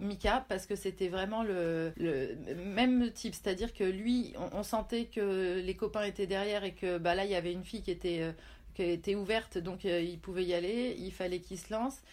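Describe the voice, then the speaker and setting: A woman speaks in a plain, everyday voice at a medium pitch and a moderate pace, with ordinary pitch variation. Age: 40s. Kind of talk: casual interview.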